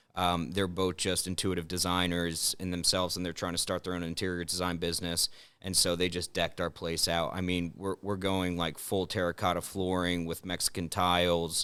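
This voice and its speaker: Very deep and low, a man's voice carries a bright, sharp tone at a fairly quick pace. The recording is very clean with a silent background. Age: 20s. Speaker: restaurant owner. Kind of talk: casual podcast chat. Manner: animated.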